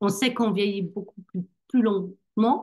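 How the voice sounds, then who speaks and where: A woman with a slight German accent, speaking at a fairly slow pace. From Germany. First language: German (speaking French). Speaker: network marketing distributor. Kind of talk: online business presentation. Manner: hesitant, many fillers.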